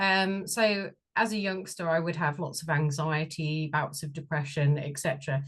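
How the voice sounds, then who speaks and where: A woman speaks with a slight Bristol accent against a quiet background. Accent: slight Bristol twang. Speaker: sound and shamanic healing therapist. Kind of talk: interview.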